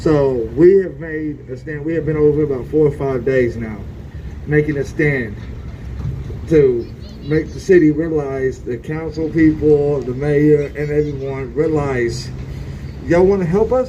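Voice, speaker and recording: A man at a fairly high pitch and a fairly slow pace, with ordinary pitch variation, audible room echo and noticeable background noise. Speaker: homeless camp resident and protester. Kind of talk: protest speech. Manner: loud; impassioned.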